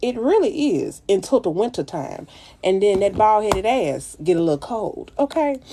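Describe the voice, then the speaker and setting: A woman talks at a moderate pace in a Louisiana accent, with very wide pitch swings. Noticeable background noise is present. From US South. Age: 30s. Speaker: makeup influencer. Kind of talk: casual livestream chat with makeup tutorial. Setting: livestream. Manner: animated.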